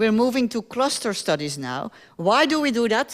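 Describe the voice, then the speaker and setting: On a very clean recording with a silent background, a woman with vocal fry speaks at a moderate pace in a fairly high pitch with very wide pitch swings. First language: not English (English is third language). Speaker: astronomy professor. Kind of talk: public lecture. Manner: animated.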